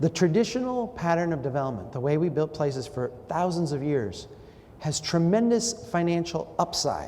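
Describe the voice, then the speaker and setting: A man with an Upper Midwest accent speaks in an animated tone at a moderate pace. His pitch is fairly high and his intonation lively. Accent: Upper Midwest American. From Minnesota, Brainerd. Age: 40s. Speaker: urban planning speaker. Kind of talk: public talk with audience interaction.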